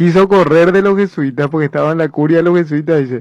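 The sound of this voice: At a fast pace, a man talks with a fairly high pitch. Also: ordinary pitch variation, slightly mellow tone.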